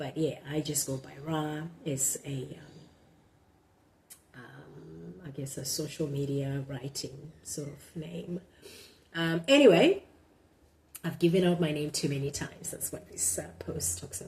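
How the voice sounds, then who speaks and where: A woman's very deep, low voice with vocal fry, lively intonation, big swings in loudness, a fairly slow pace and long, frequent pauses. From Zimbabwe. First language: Shona. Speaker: blogger. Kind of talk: casual monologue; reading aloud and commentary. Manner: halting, many fillers.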